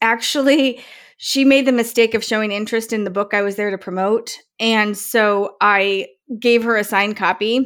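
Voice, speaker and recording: A woman with an ordinary speaking voice talks at a fairly high pitch with fairly even intonation, in a very clean recording with a silent background. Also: moderate pace. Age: 40s. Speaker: podcast host and author. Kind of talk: casual chat.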